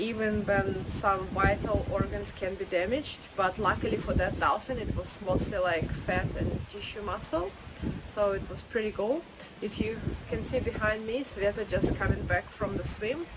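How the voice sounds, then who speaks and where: A woman speaks at a moderate pace with ordinary pitch variation. Loud background noise fills the recording. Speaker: travel vlogger. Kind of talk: casual vlog chat. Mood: relaxed, chatty. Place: beach. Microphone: phone near.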